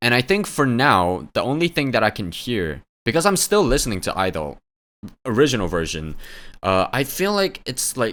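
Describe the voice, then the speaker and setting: A man's vocal fry and very wide pitch swings on a very clean recording with a silent background. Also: medium pitch for a man, moderate pace. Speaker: music reaction youtuber. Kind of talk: reaction video commentary. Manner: casual, filler-heavy.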